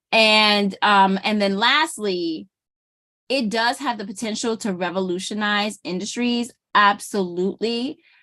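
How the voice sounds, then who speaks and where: At a fairly slow pace, a woman with an American accent speaks at a medium pitch in a bright, sharp tone with ordinary pitch variation. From Brooklyn, New York, Jamaican family. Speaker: small business consultant and YouTuber. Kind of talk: casual talk-to-camera commentary. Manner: animated, conversational with many fillers and repeats.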